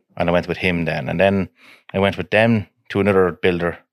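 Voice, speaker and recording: With an Irish Midlands accent, a man speaks at a moderate pace with fairly even intonation. The sound is dry and close with no echo, in a very clean recording over a silent background. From Ireland, County Offaly. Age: 30s. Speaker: crane business owner. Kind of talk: casual chat.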